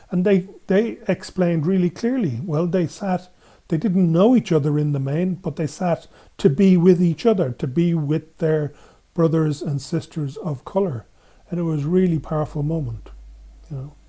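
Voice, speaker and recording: A man with an Irish accent, high pitch and a dark, mellow tone at a moderate pace, with ordinary pitch variation, in a very clean recording with a silent background. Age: 70s. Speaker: gender equality activist. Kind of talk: podcast interview. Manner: halting.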